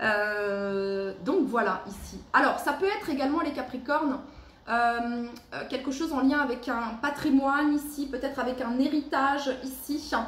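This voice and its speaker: With audible room echo and noticeable background noise, a woman speaks fairly slowly in a high pitch with ordinary pitch variation. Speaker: tarot card reader. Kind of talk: tarot reading for a zodiac sign. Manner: halting, many fillers; loud.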